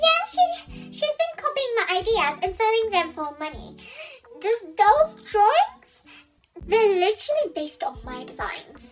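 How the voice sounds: An extremely high-pitched, put-on character voice at a fairly slow pace, with faint music in the background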